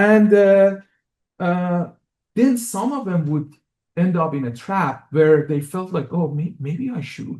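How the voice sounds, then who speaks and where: Very slow and high-pitched for a man, his dark, mellow voice carries lively intonation and an Iranian accent. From Iran, Tehran. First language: Persian. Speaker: music professor and composer. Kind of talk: lecture. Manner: halting, many fillers and repetitions.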